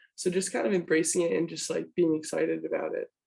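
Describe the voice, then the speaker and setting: A woman talks at a fairly quick clip. Her voice is soft-spoken. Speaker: college basketball player. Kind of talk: sports interview.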